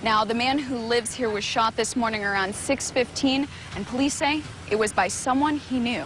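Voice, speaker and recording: At a moderate pace, a woman with a high pitch speaks with ordinary pitch variation. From Kansas. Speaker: TV news reporter and anchor. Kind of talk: live on-location news report. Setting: outdoors.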